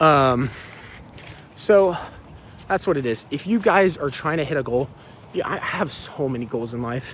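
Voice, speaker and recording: Over noticeable background noise, a man with a fairly high pitch talks at a moderate pace using lively intonation. He leaves long, frequent pauses. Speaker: fitness vlogger. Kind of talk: motivational talk. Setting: outdoors. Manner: halting.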